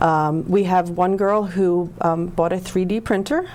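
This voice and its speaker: With noticeable background noise behind her, a woman speaks fairly slowly in a monotone, flat way at a fairly low pitch. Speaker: nonprofit executive. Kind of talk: interview.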